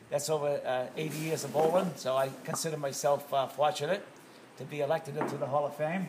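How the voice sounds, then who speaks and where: A male speaker talks rather quickly and flatly, his intonation monotone, while background noise is clearly audible. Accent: American. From Massachusetts, US. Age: 70s. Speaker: bowling alley owner, retired firefighter. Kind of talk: interview. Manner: halting. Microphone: phone near.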